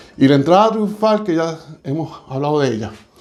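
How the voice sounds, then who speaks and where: Amid audible room echo, a man with a dark, mellow tone and a high pitch speaks at a fairly slow pace with lively intonation. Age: 60s. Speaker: church speaker. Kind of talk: sermon. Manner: halting.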